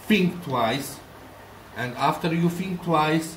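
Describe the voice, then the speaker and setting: Noticeable background noise surrounds a man with a Polish accent whose fairly high pitch and lively intonation unfold at a very slow pace. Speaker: aquarium shrimp breeder, channel owner. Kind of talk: tutorial. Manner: halting.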